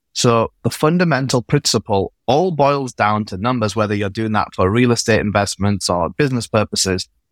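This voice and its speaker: Speaking with an English accent, a man holds a moderate pace with hardly any pauses, a medium pitch and ordinary pitch variation, on a very clean recording with a silent background and a dry, close sound with no echo. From England. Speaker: accountant and CFO services founder. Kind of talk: podcast interview.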